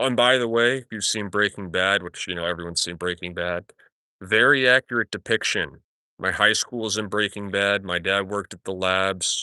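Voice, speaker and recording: A man speaks at a moderate pace with ordinary pitch variation and a bright, sharp tone, the sound dry and close with no echo over a quiet background. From New Mexico, Albuquerque. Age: 20s. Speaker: livestreamer. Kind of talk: casual chat. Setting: outdoors, backyard. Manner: casual, halting.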